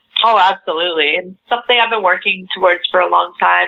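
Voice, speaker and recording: A woman is speaking. She has a Canadian accent. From western Canada, Vancouver. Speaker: pop singer. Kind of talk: interview.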